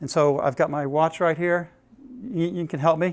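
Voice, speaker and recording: Fairly high in pitch with fairly even intonation, a man speaks on a very clean recording with a silent background. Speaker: business executive and workshop speaker. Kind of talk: workshop talk. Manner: fast.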